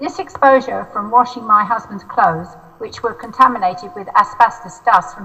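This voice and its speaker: A fairly high-pitched woman with a southern English accent, over noticeable background noise. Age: 70s. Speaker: mesothelioma patient. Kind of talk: testimony. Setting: video call.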